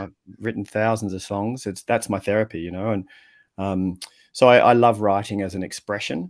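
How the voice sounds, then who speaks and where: A man with an Australian accent speaks in a fairly low voice at a moderate pace with fairly even intonation. The recording is very clean, with a silent background. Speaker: communication coach and writer. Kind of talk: podcast interview answer. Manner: relaxed, casual.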